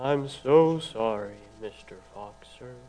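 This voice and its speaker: This is a put-on character voice. It carries a sad tone. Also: man, medium pitch for a man. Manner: sad, apologetic, depressed.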